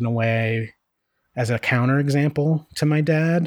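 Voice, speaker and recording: A man speaks with fairly even intonation in a dry, close sound that has no echo. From Northeast Pennsylvania. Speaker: podcast co-host. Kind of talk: casual chat. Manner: halting.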